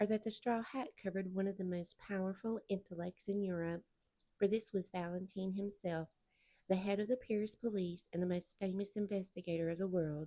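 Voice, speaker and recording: A woman's medium-pitched voice with a Southern US accent, dark and mellow in tone, at a fairly quick pace with fairly even intonation. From Southern United States. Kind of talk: audiobook read-aloud.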